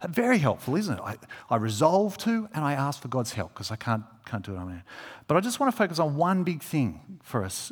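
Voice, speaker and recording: Speaking with an Australian accent, a man talks fairly quickly in a fairly high pitch with a warm tone. His pitch swings very widely. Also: very clean recording, silent background. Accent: Australian, fairly broad. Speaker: preacher. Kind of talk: sermon. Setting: church. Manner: informal, warm, halting with fillers.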